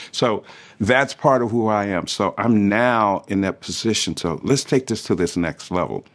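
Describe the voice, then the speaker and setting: A man speaks in a normal speaking voice, fairly low in pitch, against a quiet background. His pace is moderate and his pitch varies in an ordinary way. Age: 60s. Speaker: TV and radio producer, hip hop pioneer. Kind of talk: interview monologue.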